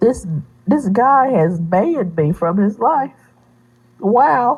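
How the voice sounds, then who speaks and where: A woman's fairly high, somewhat breathy voice at a very slow pace with very wide pitch swings. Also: very even loudness. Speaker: vlogger sharing personal life. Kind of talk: emotional personal vlog.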